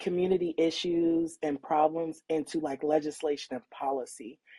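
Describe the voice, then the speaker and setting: A woman's very deep, low voice has a dark, mellow tone and fairly even intonation. She speaks at a fairly slow pace, and the sound is dry and close with no echo. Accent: American. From San Francisco, California. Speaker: county supervisor. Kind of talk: interview.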